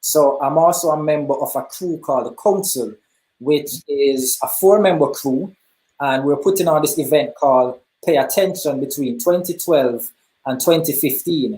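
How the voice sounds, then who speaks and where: Speaking in a Jamaican accent, a man has a dark, mellow tone and fairly high pitch, with ordinary pitch variation at a moderate pace. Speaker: hip hop artist. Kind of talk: interview.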